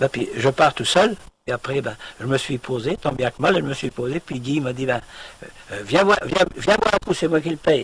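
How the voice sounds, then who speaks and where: A man at a moderate pace and medium pitch, with lively intonation and noticeable background noise. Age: 70s. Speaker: retired farmer and microlight pilot. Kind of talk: personal testimony. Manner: halting, many hesitations.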